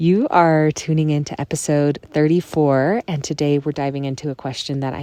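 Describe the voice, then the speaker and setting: Soft-spoken, a woman talks in a very deep, low pitch with a dark, mellow tone. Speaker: podcast host. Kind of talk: casual podcast monologue. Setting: in a tent on a backpacking trip.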